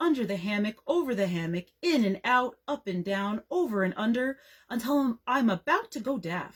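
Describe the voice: The speaker's plain reading aloud carries lively intonation.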